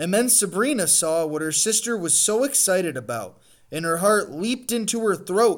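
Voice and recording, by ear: The reading is done aloud. It comes in a natural voice.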